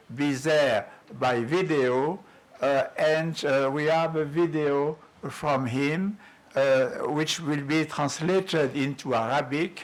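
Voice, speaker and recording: This man speaks very slowly with a French accent and a fairly high pitch. His intonation stays fairly even over noticeable background noise. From France. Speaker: workshop moderator. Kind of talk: conference moderation. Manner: halting.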